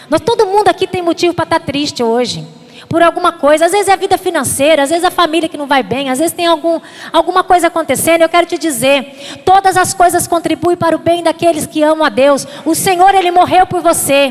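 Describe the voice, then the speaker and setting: A woman speaks at an extremely high pitch and a fairly quick pace, with ordinary pitch variation. There is noticeable background noise. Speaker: pastor. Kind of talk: sermon. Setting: church. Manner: fast; animated.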